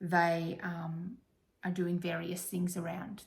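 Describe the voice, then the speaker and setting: A woman's somewhat breathy, fairly low voice at a fairly slow pace, with audible room echo. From Australia. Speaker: crafting vlogger. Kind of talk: casual chat. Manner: hesitant, many fillers.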